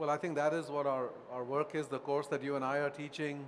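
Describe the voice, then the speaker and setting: With audible room echo, a man speaks at a fairly quick pace and a fairly high pitch. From India. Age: 60s. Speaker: author and professor. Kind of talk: Q&A at book talk. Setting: auditorium with audience.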